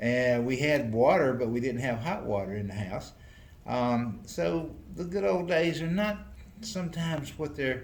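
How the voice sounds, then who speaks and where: With a Southern US accent, a man talks at a fairly slow pace and a medium pitch. His pitch swings very widely, and there is audible room echo. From US South, North Carolina. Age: 70s. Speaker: retiring mayor. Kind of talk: interview. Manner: halting.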